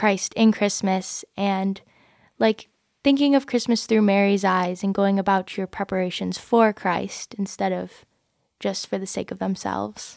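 Fairly slow speech in a Midwestern American accent, with fairly even intonation. The recording is very clean with a silent background and a dry, close sound with no echo. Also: woman. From Michigan. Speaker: college student. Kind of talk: casual chat.

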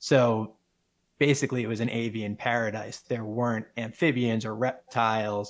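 At a moderate pace, a man talks in a monotone, flat way at a medium pitch. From New England, Rhode Island. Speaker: wildlife filmmaker and entrepreneur. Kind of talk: interview.

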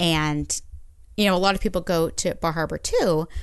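A woman with an American accent, fairly slow pace, ordinary pitch variation and vocal fry, against a quiet background. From Maine, US (Orono). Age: 40s. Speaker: regional tourism grant manager. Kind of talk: casual chat.

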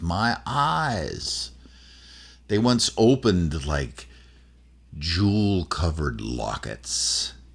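Using a put-on character voice, a woman speaks very slowly at a very deep, low pitch with very wide pitch swings. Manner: eerie, spooky.

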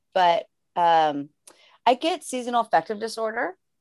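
The woman has an unremarkable speaking voice with lively intonation. The sound is dry and close with no echo, in a very clean recording with a silent background. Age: 40s. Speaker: life coach. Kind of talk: casual chat.

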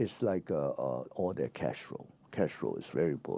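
A man with a Chinese accent speaks at a moderate pace. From China. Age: 70s. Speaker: exiled democracy activist and businessman. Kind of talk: interview.

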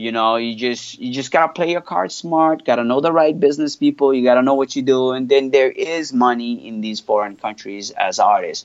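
Speaking at a fairly quick pace with hardly any pauses, a man with a French accent uses a medium pitch and ordinary pitch variation. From Canada, Montreal. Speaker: hip hop artist. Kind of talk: casual interview.

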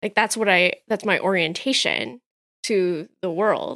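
A woman speaks at a moderate pace with ordinary pitch variation and an ordinary speaking voice. The sound is dry and close, with no echo. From Canada, of Hong Kong descent. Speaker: pastor and theologian. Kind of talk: casual chat.

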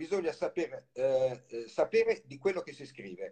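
At a moderate pace, a man with a dark, mellow tone speaks with very wide pitch swings. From Italy, Livorno (Tuscany). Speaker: novelist. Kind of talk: interview.

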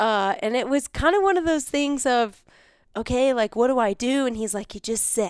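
In a very clean recording with a silent background, a woman speaks at a high pitch with lively intonation and an animated tone, at a moderate pace. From West Michigan, US. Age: young. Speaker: hunter. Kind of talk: casual chat.

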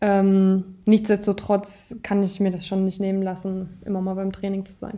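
Her tone is dark and mellow. The woman's intonation stays monotone and flat. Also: medium pitch for a woman, fairly slow pace. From northern Thuringia, Nordhausen. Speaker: handball player. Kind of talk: interview.

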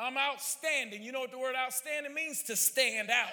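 This man's voice is raised and projected, at an extremely high pitch. He keeps a fairly even intonation. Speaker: visiting preacher. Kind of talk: revival-style sermon exhortation, rising to call-and-response praise. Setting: church service with live congregation. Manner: fervent, repetitive exhortations (you ought to, lift your hand); stammering restarts, filler uh and repeated words.

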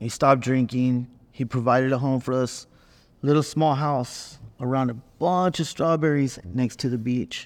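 An unremarkable speaking voice from a man with an American accent, medium pitch, moderate pace and fairly even intonation, in a very clean recording with a silent background. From Northern California (Watsonville). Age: 50s. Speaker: formerly incarcerated ex-gang member. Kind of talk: testimony.

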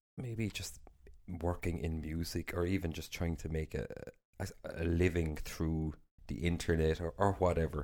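With an Irish accent, a man with a very deep, low pitch talks at a moderate pace with ordinary pitch variation. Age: 30s. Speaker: podcast host. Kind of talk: casual chat. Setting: studio. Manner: laughs often.

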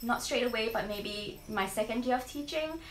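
Over music in the background, a woman speaks with ordinary pitch variation and audible room echo. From Singapore. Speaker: trainee primary school teacher. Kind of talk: casual interview.

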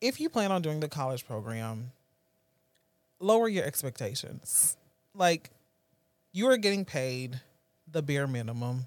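The delivery is animated, fairly slow, with long, frequent pauses and very wide pitch swings. It is a very clean recording with a silent background. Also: man, fairly high pitch for a man. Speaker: friend. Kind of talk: casual chat.

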